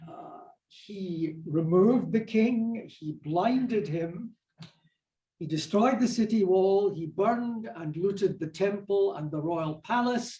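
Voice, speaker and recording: A man with a Scottish accent and a high voice speaks very slowly in a dark, mellow tone, with big swings in loudness. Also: ordinary pitch variation. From Scotland. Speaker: minister and professor of religious studies. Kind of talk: lecture to church adult class.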